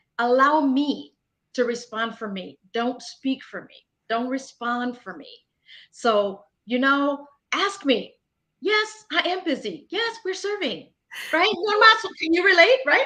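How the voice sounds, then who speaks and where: In a raised, projected voice with a bright, sharp tone, the speaker moves at a fairly slow pace, with very wide pitch swings and big swings in loudness. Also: woman, high pitch for a woman. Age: 50s. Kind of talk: interview. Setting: online livestream.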